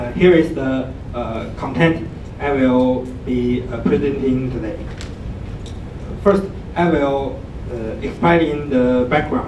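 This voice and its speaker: A man speaks at a very slow pace with medium pitch and ordinary pitch variation, leaving long, frequent pauses. Noticeable background noise and audible room echo fill the recording. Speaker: graduate student presenter. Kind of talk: conference talk. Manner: halting.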